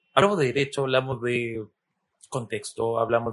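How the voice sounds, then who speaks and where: Fairly even intonation marks this man's unremarkable speaking voice, pitched in the medium range. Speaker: podcast host. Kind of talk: interview conversation.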